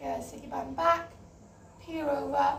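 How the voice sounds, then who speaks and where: A woman talks at a fairly slow pace. The room echo is audible. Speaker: fitness instructor. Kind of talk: workout instruction. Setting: home online class over wi-fi.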